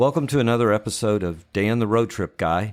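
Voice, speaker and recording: Music plays in the background as a man speaks at a moderate pace, using a medium pitch and ordinary pitch variation. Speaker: podcast host. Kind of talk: podcast intro.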